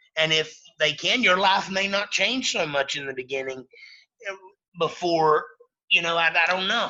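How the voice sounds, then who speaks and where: A high-pitched man in a Southern Appalachian accent, at a moderate pace with ordinary pitch variation and long, frequent pauses. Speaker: former freemason. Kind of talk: podcast interview. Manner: halting.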